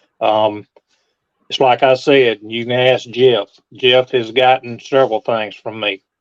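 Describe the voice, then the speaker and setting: At a fairly slow pace, a man speaks in a medium pitch with flat, monotone intonation. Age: 60s. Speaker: model car collector. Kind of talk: casual chat.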